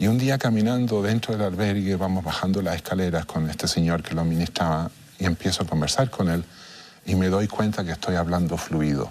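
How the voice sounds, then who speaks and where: The man's pitch is very deep and low, and his pace is fairly quick. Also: ordinary pitch variation. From Chile. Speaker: international mediator. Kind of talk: interview. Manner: halting.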